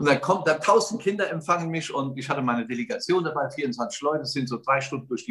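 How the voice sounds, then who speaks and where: Talking at a very fast pace, a man with a fairly high pitch uses a bright, sharp tone and lively intonation. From Germany, Westerwald. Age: 60s. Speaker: radio host, entrepreneur and charity founder. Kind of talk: casual interview.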